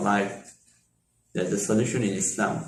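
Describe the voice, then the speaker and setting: Through audible room echo, a man with a Bengali accent speaks at a moderate pace. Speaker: Islamic lecturer. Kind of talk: lecture.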